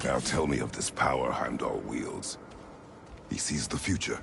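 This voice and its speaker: A man uses a put-on character voice at a moderate pace over clear background noise. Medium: video game. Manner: terse, grave.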